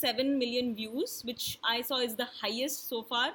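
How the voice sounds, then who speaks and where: A woman uses a raised, projected voice with a bright, sharp tone. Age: 30s. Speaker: podcast co-host, dancer and teacher. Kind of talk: casual chat.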